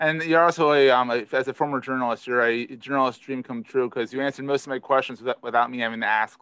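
A man with a Philadelphia accent talks at a very fast pace with hardly any pauses, using a medium pitch, fairly even intonation and a bright, sharp tone. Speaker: podcast host. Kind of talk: casual interview chat.

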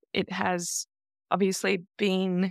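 With an Australian accent, a woman speaks in a dry, close sound with no echo on a very clean recording with a silent background. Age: 40s. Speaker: leather community dominant. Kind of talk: interview.

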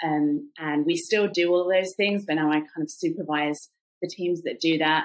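Fairly low-pitched woman at a moderate pace, with ordinary pitch variation. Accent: British. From England. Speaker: anti-trafficking activist. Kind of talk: casual interview.

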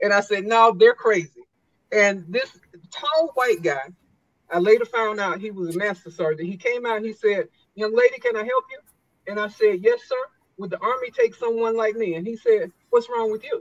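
With an American accent, a woman has a plain, everyday voice, a fairly high pitch and big swings in loudness. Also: ordinary pitch variation, moderate pace. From US South, South Carolina. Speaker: retired army drill sergeant and motivational speaker. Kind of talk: interview storytelling.

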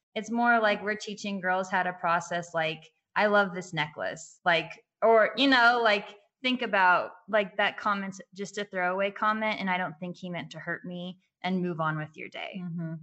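A woman with a plain, everyday voice, medium pitch and an American accent, at a moderate pace with ordinary pitch variation. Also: big swings in loudness. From California. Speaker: nonprofit founder for girls. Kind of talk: casual interview chat.

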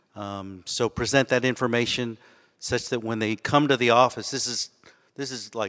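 This man has a normal speaking voice at a medium pitch, with fairly even intonation and a moderate pace. The recording is very clean with a silent background, and the sound is dry and close with no echo. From Austin, Texas. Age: 50s. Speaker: ophthalmologist. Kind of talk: live interview. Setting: stage with audience.

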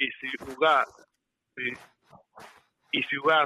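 The speaker is a man. His pitch is fairly high. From Cuba, Santiago de Cuba. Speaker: caller. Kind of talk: phone-in opinion.

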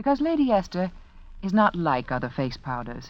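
A woman's fairly low-pitched voice at a moderate pace, with big pitch swings.

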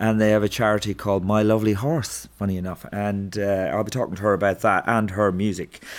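A man with an Irish accent talks at a fairly low pitch with hardly any pauses. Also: fairly even intonation, fairly quick pace. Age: 50s. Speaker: comedian and podcast host. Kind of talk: casual chat.

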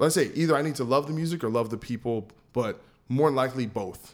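A man with a New Jersey accent speaks at a very fast pace. The recording is very clean, with a silent background. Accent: American English, New Jersey. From New Jersey, US. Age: 30s. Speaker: podcast host and metal guitarist. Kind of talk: casual interview chat.

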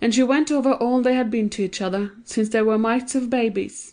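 A woman with a normal speaking voice talks at a moderate pace against a quiet background. Her pitch is fairly high and her intonation fairly even. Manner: shifts into different character voices for dialogue.

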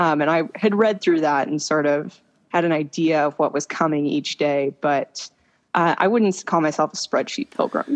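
This woman has an American accent and a very deep, low pitch. Her loudness stays very even throughout. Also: ordinary pitch variation, moderate pace. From Florida, US. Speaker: pilgrim walker. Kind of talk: interview. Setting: phone call. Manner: hesitant, many fillers.

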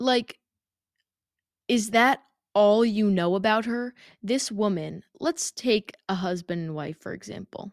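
In a dry, close recording with no echo, a woman speaks at a medium pitch in an animated tone. She goes at a fairly slow pace with long, frequent pauses and big swings in loudness. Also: ordinary pitch variation. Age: 20s. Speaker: podcast host. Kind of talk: casual monologue. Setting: home attic studio.

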